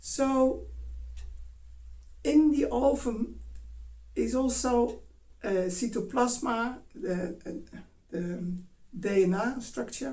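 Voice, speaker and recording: In a Dutch accent, a woman speaks very slowly with long, frequent pauses, lively intonation and a dark, mellow tone at a fairly high pitch, with vocal fry and audible room echo. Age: 60s. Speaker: dance teacher. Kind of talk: talk. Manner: halting.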